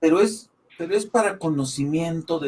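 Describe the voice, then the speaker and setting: Animated in tone, a man with a fairly high pitch talks at a fairly slow pace with lively intonation. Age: 60s. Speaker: Bible study panelist. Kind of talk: religious discussion.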